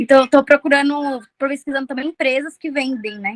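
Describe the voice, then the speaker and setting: Recorded dry and close with no echo, a woman talks at a moderate pace in a bright, sharp tone. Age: 20s. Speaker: nurse. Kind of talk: casual chat.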